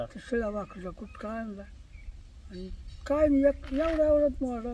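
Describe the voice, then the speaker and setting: A man speaks in an extremely high yet dark, mellow voice with ordinary pitch variation, his loudness swinging widely. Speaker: grandfather, village farmer. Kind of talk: storytelling in interview.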